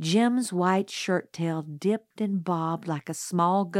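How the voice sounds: A text is being read out. The reading voice is natural.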